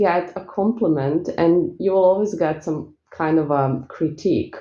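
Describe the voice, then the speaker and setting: A woman speaks at a medium pitch with a strong Eastern European accent. Her intonation is lively and her pace fairly slow. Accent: thick Eastern European. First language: not English. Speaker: spiritual coach and spell seller. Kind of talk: casual vlog talk. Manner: relaxed, peaceful.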